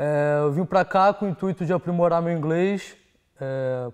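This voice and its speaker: Against a quiet background, a man with a Rio de Janeiro accent talks at a fairly slow pace with ordinary pitch variation. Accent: Carioca Brazilian Portuguese. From Brazil, Rio de Janeiro. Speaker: exchange student. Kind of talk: testimonial. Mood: calm, positive.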